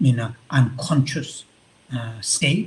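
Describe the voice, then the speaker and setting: The voice belongs to a man. It lands in the medium pitch range. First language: Tibetan. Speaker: Buddhist monk and visiting professor. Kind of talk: lecture. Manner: halting, many fillers.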